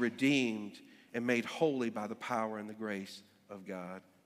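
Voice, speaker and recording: In a North Carolina accent, the speaker goes at a fairly slow pace with ordinary pitch variation, in a very clean recording with a silent background. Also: man. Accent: North Carolina Southern. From US South, Greensboro, North Carolina. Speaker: pastor. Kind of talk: sermon. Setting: church. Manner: halting, many fillers.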